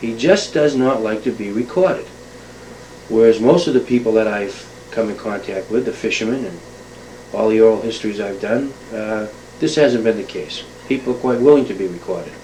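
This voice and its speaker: In an American accent, a man at a medium pitch speaks with ordinary pitch variation and long, frequent pauses over noticeable background noise. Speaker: oral historian. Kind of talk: spoken monologue introduction to an oral history tape. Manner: fast; hesitant, many fillers.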